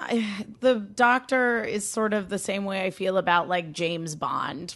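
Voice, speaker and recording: A woman's medium-pitched voice with an American accent, lively intonation and a fairly slow pace over noticeable background noise. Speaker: podcast guest. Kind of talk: casual chat.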